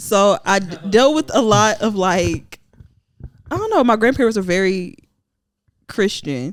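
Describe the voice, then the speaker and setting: With lively intonation and long, frequent pauses, a woman speaks at a fairly slow pace in a medium pitch. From Alabama, Huntsville area. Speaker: singer. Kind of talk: casual interview.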